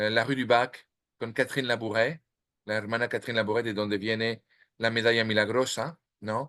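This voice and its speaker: A man with a French accent speaks at a moderate pace in a medium pitch, with a bright, sharp tone and monotone, flat intonation. The background is quiet. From France, Normandy. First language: French (speaking Spanish). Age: 50s. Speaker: author. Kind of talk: interview. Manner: halting, many fillers and restarts.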